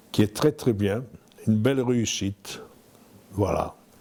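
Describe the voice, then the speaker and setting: A man is speaking at a medium pitch. His intonation is lively. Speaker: villager. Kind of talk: casual interview.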